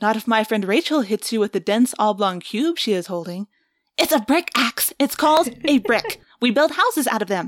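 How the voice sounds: A natural reading voice with lively intonation over a quiet background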